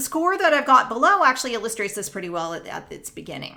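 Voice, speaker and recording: With a Canadian accent, a woman speaks in a bright, sharp tone amid audible room echo. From Canada, Northern Ontario. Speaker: music professor. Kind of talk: lecture. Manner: explanatory, measured.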